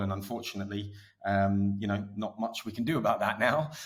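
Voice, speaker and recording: Here a man talks in an Essex accent. His pitch is fairly low and his intonation fairly even. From England, Essex. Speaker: media executive. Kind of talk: podcast interview. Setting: studio. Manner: casual, filler-heavy with many restarts.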